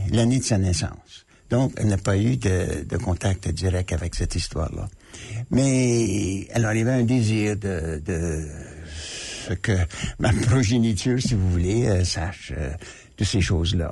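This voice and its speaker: This man's fairly low, somewhat breathy voice moves at a fairly slow pace with lively intonation and long, frequent pauses. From Manitoba, Canada. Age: 80s+. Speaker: author and former diplomat. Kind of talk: radio interview. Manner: hesitant, many fillers.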